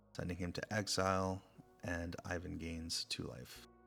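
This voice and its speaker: A man speaks with a very deep, low pitch and fairly even intonation. Music plays in the background. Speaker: ASMR creator, game narrator. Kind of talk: card game play-by-play narration.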